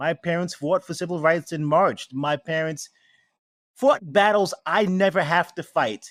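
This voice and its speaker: A New York accent with ordinary pitch variation, in a very clean recording with a silent background and a dry, close sound with no echo. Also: man, high pitch for a man, fairly slow pace. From New York City, Queens and Brooklyn. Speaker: spirits maker. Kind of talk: interview.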